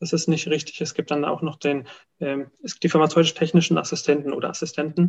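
A man speaks fairly quickly at a fairly high pitch. His intonation is monotone and flat. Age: 20s. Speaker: pharmacist. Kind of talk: interview.

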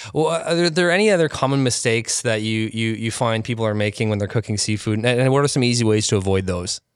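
Words come at a very fast pace with hardly any pauses and ordinary pitch variation. The recording is very clean, with a silent background. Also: man, medium pitch for a man. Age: 30s. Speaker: podcast host. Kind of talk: interview; scripted intro. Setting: expo venue.

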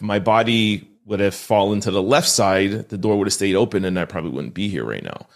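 A man with a Canadian accent talks fairly quickly in a plain, everyday voice, hardly pausing at all. His pitch is fairly low and varies in an ordinary way. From Montreal, Canada. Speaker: entrepreneur and author. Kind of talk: interview.

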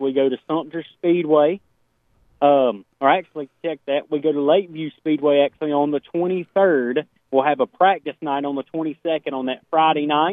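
Someone speaks at a moderate pace with an American accent, in a normal speaking voice with fairly even intonation. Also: man, fairly high pitch for a man. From Portsmouth, Ohio, US. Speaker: dirt racing series organizer. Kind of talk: radio interview.

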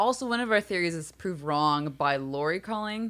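On a very clean recording with a silent background, a woman with an ordinary speaking voice speaks with lively intonation. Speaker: podcast host. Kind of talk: casual chat.

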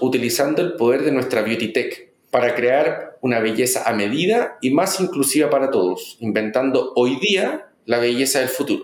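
The man has an unremarkable speaking voice, pitched fairly high, with lively intonation. His loudness stays very even at a moderate pace. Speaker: marketing executive. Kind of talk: interview.

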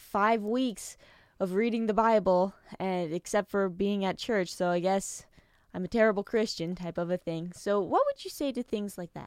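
A woman with an ordinary speaking voice and an American accent, medium in pitch, with fairly even intonation at a moderate pace, in a dry, close sound with no echo, on a very clean recording with a silent background. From United States. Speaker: podcast host. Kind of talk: casual interview; scripted intro.

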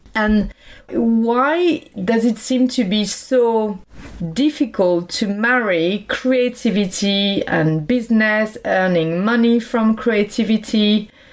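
A woman with a French accent speaks at a very slow pace and a fairly high pitch. Her pitch variation is ordinary, her loudness very even. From France. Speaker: podcast host. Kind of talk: interview. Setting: remote call.

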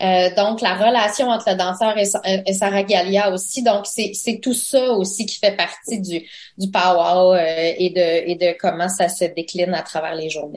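At a fairly slow pace, a woman speaks in a medium pitch with fairly even intonation. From Quebec, Abenaki nation. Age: 40s. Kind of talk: radio interview. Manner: hesitant, many fillers.

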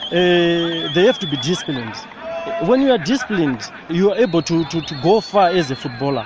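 A man at a moderate pace with very wide pitch swings over noticeable background noise. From Zimbabwe. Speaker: footballer. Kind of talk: interview testimony about faith. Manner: halting.

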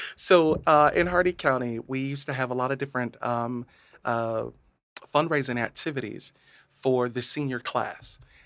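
The recording is very clean, with a silent background. A man with a plain, everyday voice and an American accent speaks at a moderate pace and medium pitch, his intonation fairly even. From rural Central Florida, US. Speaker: healthcare data manager and drag queen. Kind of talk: casual interview chat. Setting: studio.

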